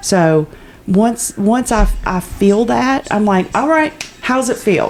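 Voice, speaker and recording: Noticeable background noise accompanies a woman who talks very slowly. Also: fairly high pitch for a woman, lively intonation. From Appalachia. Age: 40s. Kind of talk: casual podcast conversation.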